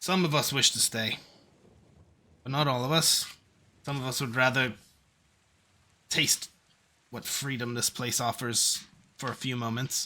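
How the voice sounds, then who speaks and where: In a raspy, put-on character voice of medium pitch, a man speaks at a moderate pace with fairly even intonation and long, frequent pauses. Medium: actual play. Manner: solemn, measured.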